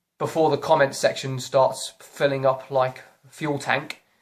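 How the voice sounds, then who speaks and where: Moderately paced speech comes in a British accent. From Britain. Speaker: YouTuber. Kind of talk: opinion vlog rant. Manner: animated.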